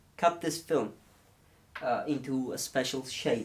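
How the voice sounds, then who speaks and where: A man with a non-native accent talks at a very slow pace. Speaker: film photography YouTuber. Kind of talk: tutorial. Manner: halting, many fillers.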